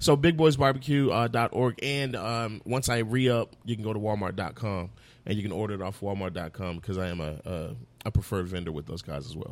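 Speaking fast-ish with an American accent, a man uses a normal speaking voice, fairly low pitch, lively intonation and a fairly quick pace. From Fort Myers, Florida. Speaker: barbecue sauce business owner. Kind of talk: casual interview chat.

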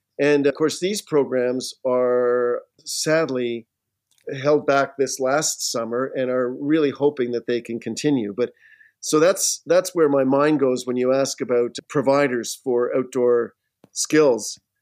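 A man speaks at a fairly slow pace in an unremarkable speaking voice. His pitch is medium and his intonation fairly even. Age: 60s. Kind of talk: casual interview chat. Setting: remote video call.

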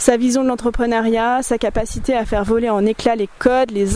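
Against noticeable background noise, a woman speaks with a fairly high pitch and fairly even intonation. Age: 30s. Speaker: podcast host. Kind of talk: scripted narration; interview. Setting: outdoors by a river.

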